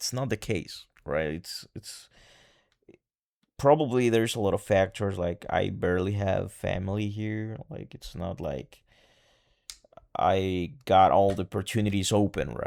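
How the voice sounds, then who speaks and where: In a Spanish accent, a man talks at a fairly slow pace in a fairly low voice with lively intonation. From El Salvador. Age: 20s. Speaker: vlogger. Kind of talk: personal vlog monologue. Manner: halting.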